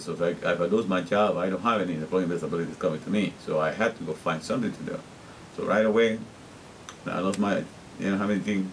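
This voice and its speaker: A man with a very deep, low pitch, fairly even intonation and a very fast pace, with noticeable background noise. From Guatemala. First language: Spanish. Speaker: interpreter and vlogger. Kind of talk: casual video diary monologue. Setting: self-recorded on camera.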